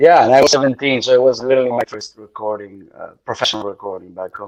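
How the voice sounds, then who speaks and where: A man talks at a very fast pace with a medium pitch. His loudness swings widely. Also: ordinary pitch variation. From Italy, Bari area. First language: Italian. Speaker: singer. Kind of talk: casual chat.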